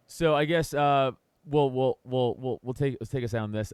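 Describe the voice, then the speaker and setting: New York accent at a moderate pace, ordinary pitch variation, dry, close sound with no echo. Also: man. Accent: New York (Staten Island). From Staten Island, New York. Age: 30s. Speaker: podcast host and comedian. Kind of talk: casual chat. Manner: halting, many restarts.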